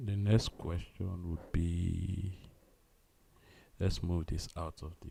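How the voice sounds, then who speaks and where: Very deep and low in pitch, a man speaks in a dark, mellow, somewhat breathy tone at a very slow pace with fairly even intonation. His loudness swings widely, and his pauses are long and frequent. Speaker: coding livestreamer. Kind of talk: live coding stream. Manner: halting.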